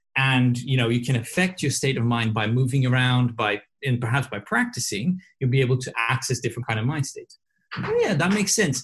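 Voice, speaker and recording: A somewhat breathy man at a medium pitch, fairly quick in pace, with ordinary pitch variation. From southern Brazil, Porto Alegre. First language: Portuguese. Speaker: advertising strategist and coach. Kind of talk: casual chat. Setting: video call. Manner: halting.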